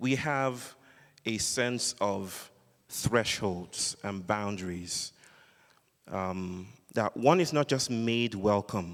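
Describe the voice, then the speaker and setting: A man with a Nigerian accent and a fairly low voice speaks very slowly, with long, frequent pauses and ordinary pitch variation. The recording is very clean, with a silent background. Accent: Nigerian (Yoruba) English. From Western Nigeria (Yoruba). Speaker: philosopher and public speaker. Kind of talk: public lecture. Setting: sanctuary with live audience. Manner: animated.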